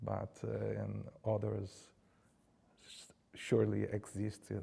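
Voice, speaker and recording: This is a man speaking. He has a Brazilian Portuguese accent. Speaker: art curator. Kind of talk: Q&A after lecture. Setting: lecture hall, also streamed on Zoom. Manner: halting, with false starts.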